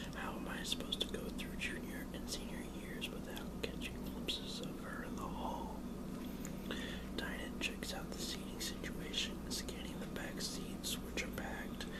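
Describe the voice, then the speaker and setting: A whispered voice at a moderate pace, with noticeable background noise behind it. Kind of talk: audiobook-style reading of a teen novel, first person narration. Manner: whispered, soft-spoken.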